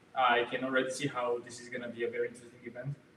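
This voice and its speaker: Noticeable background noise sits under this man's voice. He talks very fast in a flat monotone. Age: young. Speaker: luxury goods broker. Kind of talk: self-introduction at meetup.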